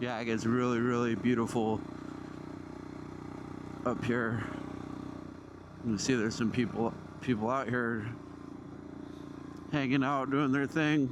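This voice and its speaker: A man talks at a medium pitch, his loudness very even, with long, frequent pauses. Noticeable background noise runs underneath. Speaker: motovlogger. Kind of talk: casual motovlog talk while riding. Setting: outdoors, on a motorcycle, wireless mic.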